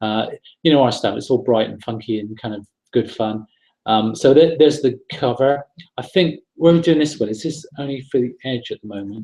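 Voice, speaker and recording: A man talks in a medium pitch with a dark, mellow tone. His loudness swings widely. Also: ordinary pitch variation. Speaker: property investment trainer hosting a webinar. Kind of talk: webinar presentation. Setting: online webinar broadcast. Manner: fast; casual, hesitant with repeated words.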